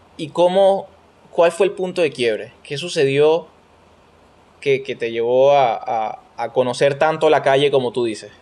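Here a man speaks at a fairly high pitch. His pace is fairly slow and his pitch variation ordinary. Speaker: podcast host. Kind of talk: casual chat.

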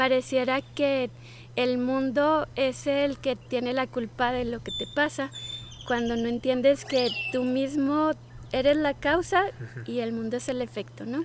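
A woman at a fairly slow pace, amid noticeable background noise. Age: 40s. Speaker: life coach. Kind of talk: casual conversation. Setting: outdoors in a park. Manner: calm, peaceful.

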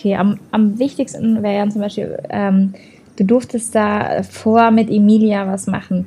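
Somewhat breathy and flat in intonation, a woman speaks at a medium pitch in a monotone. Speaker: social media influencer and voice actress. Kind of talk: casual interview.

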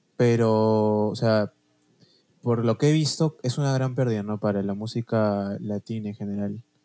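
Recorded with a dry, close sound and no echo, a man with a Peruvian accent and a dark, mellow tone speaks at a fairly slow pace with fairly even intonation. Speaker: podcast co-host. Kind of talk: casual chat.

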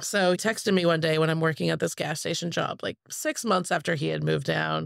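A woman with a West Coast accent speaks at a moderate pace. The recording is very clean, with a silent background. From US Pacific Northwest, Spokane, Washington. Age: 30s. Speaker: competitive pinball player. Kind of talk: casual chat.

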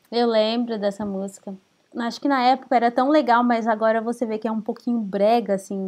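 A woman talks in an unremarkable speaking voice at a fairly high pitch. Her pace is fairly quick and her intonation fairly even. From Brazil. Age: 30s. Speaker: podcast co-host. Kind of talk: casual chat.

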